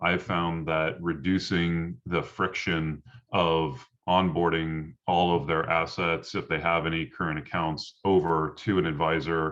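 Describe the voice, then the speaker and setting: A man's very deep, low voice at a fairly slow pace with fairly even intonation. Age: 30s. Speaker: financial advisor. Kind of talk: casual group video meetup discussion.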